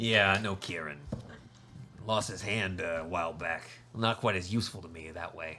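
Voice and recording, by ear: Putting on a character voice, a man with a very deep, low, raspy pitch speaks at a moderate pace with fairly even intonation, big swings in loudness, and long, frequent pauses, over clear background noise.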